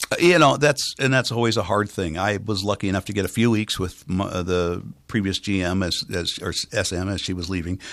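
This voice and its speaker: An unremarkable speaking voice comes from a man with an American accent. He talks fairly quickly at a fairly low pitch with ordinary variation. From US West Coast, San Francisco Bay Area. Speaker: radio station manager. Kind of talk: interview. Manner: trained clear enunciation.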